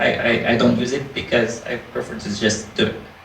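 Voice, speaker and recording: Over noticeable background noise and audible room echo, a man with a non-native accent speaks fairly slowly, his intonation lively. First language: not English. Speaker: indie game developer. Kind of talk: panel discussion. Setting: live panel event with audience.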